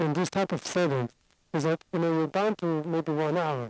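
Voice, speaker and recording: A man's high-pitched voice with ordinary pitch variation and a dry, close sound with no echo. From Singapore. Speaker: addiction doctor and lecturer. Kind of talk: lecture.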